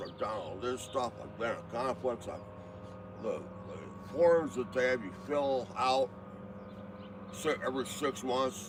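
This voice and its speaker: At a fairly slow pace, a man talks in a medium pitch. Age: 60s. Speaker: retired truck driver. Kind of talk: casual chat.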